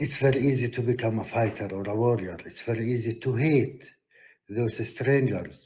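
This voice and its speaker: At a moderate pace, a man talks in a medium-pitched, dark, mellow voice that is somewhat breathy. His intonation stays fairly even, and the recording is very clean with a silent background. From Palestine. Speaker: peace activist. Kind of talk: conference talk. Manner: hesitant with fillers.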